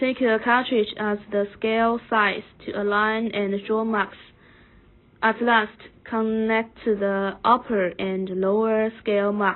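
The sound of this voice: A woman's fairly high pitch at a slow pace, with little pitch movement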